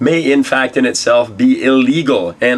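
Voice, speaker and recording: There is noticeable background noise. The pitch varies in an ordinary way. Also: man. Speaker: tech news show host. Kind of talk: news show to camera.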